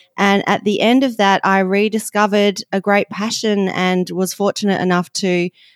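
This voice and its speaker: In a very clean recording with a silent background and a dry, close sound with no echo, a woman with an Australian accent talks at a moderate pace and medium pitch. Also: very even loudness. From Western Australia. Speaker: nutrition and lifestyle coach. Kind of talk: interview.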